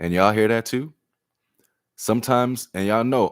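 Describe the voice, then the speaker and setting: Here is a man with a normal speaking voice, medium in pitch and with ordinary pitch variation. He keeps a moderate pace, and the sound is dry and close with no echo. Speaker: tarot reader. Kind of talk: live-stream tarot reading.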